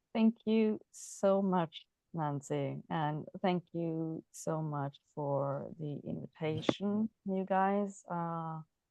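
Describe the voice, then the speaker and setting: With a Norwegian accent, a woman speaks at a very slow pace and a fairly low pitch, using hardly any pauses and ordinary pitch variation. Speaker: mental health advocate. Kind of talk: presentation. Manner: halting.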